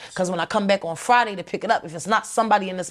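A woman's medium-pitched voice with ordinary pitch variation against a quiet background. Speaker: former gang member. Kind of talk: interview testimony.

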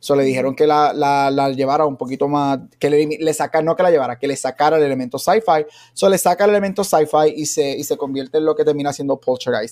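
A man's fairly high voice at a very fast pace, with hardly any pauses and ordinary pitch variation. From Aguadilla, Puerto Rico. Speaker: podcast host. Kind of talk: casual banter about a movie.

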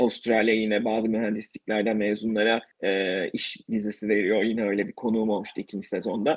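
A man at medium pitch and a fairly quick pace, with a plain, everyday voice. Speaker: podcaster interviewing emigrants. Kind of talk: casual interview chat.

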